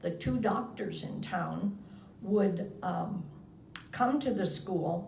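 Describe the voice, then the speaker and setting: A woman with an American accent, medium pitch and a very slow pace, amid noticeable background noise and audible room echo. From US Midwest, Iowa. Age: 80s+. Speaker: interviewee recalling her life. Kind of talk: oral history interview.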